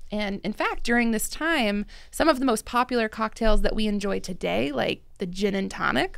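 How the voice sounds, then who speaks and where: Vocal fry colors a woman's fairly high voice, which has ordinary pitch variation. She talks at a moderate pace against a quiet background. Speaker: podcast host, drinks industry director. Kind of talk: casual chat. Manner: animated. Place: studio. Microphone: studio mic.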